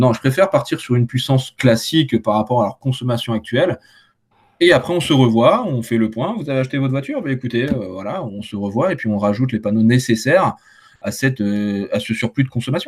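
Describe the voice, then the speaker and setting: A man talks at a fairly quick pace, somewhat breathy. His pitch is medium, with ordinary variation. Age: 20s. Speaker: solar panel installer. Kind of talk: casual chat.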